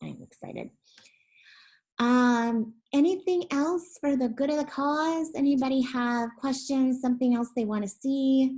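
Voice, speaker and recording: Speaking fairly slowly, the voice carries a dark, mellow tone and pitch that varies in an ordinary way. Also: woman, high pitch for a woman. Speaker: education platform representative. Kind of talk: webinar presentation.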